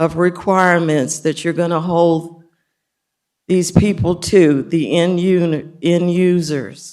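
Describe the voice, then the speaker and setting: At a very slow pace, a woman talks in a fairly low pitch. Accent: American. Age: 70s. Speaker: public commenter, biologist. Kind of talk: public comment at county meeting.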